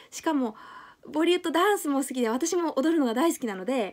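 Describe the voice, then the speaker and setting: A woman's lively intonation and fairly quick pace come through over a quiet background. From Japan. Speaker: YouTuber and English teacher; language learning vlogger. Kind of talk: vlog monologue. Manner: hesitant, many fillers. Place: home room. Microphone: phone near.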